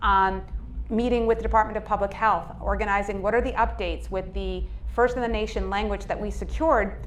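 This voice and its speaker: Speaking with a Boston accent, a woman is heard with audible room echo. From Cambridge, Massachusetts. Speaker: state legislator. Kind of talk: public speech.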